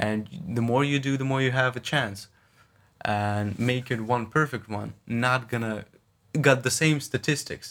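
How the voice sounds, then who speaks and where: A man with a Russian accent speaks at a fairly slow pace and medium pitch, with fairly even intonation. The recording is very clean, with a silent background. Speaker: podcast guest, friend and classmate of host. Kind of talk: casual chat.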